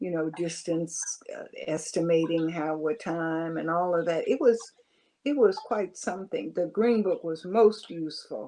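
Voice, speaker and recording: Speaking at a moderate pace, a woman has a fairly low pitch, a dark, mellow tone and ordinary pitch variation. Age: 80s+. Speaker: retired educator and activist. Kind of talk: interview. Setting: video call.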